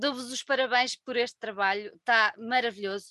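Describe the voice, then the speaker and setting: A woman speaks in a high voice with a European Portuguese accent at a moderate pace. The sound is dry and close, with no echo. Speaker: podcast host. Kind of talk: casual interview. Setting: video call. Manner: warm.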